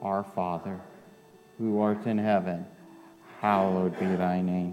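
A man speaks at a very slow pace while music plays in the background. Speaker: pastor. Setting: church. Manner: solemn, fervent, slow and measured, with pauses after each petition.

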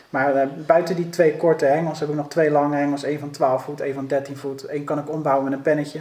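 A man's fairly high voice at a very fast pace, monotone and flat in intonation, amid noticeable background noise. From Netherlands, Rotterdam. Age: 30s. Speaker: police officer and carp angler. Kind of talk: podcast interview.

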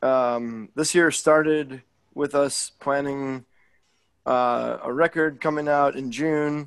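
A man with a fairly high pitch speaks at a very slow pace. His intonation is fairly even, and the background is quiet. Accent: American. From Chicago suburbs, US Midwest. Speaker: musician. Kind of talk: casual interview.

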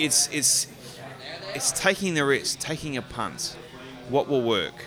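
Lively intonation in an Australian accent at a fairly slow pace, over noticeable background noise. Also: man. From Australia, Gold Coast, Queensland. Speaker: brewery owner. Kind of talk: casual chat. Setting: pub.

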